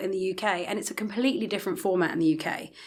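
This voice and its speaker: A woman with a London accent talks at a very fast pace in a very clean recording with a silent background. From England, London. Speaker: retail leasing director. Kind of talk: podcast interview. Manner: hesitant, many fillers.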